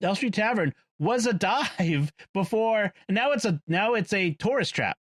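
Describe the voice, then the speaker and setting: High-pitched man with a Boston accent, lively intonation and very even loudness. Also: fairly slow pace, dry, close sound with no echo. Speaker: podcast panelist discussing movies. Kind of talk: casual chat. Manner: hesitant, many fillers.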